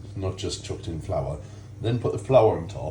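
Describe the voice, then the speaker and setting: Very deep, low male voice at a moderate pace, ordinary pitch variation, audible room echo and noticeable background noise. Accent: Geordie. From northeast England, Ashington, Northumberland. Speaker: cooking YouTuber. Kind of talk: casual cooking tutorial vlog. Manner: chatty, self-deprecating asides.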